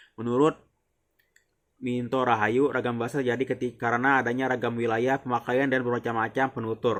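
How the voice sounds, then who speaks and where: A man talking at a very fast pace. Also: very clean recording, silent background. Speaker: university student. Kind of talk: class presentation reading slides. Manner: formal, slightly halting.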